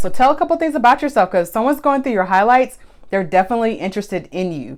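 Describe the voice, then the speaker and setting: The voice is loud. Its pitch swings very widely. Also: woman. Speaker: photographer and social media tips host. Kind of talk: live stream tutorial. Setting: Instagram live stream. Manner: casual, conversational.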